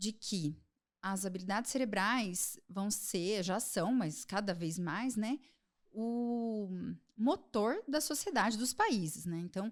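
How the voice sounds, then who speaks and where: Very slowly, a woman speaks with lively intonation at a fairly high pitch on a very clean recording with a silent background. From Brazil, Londrina, Paraná. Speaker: psychiatrist. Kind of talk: podcast interview.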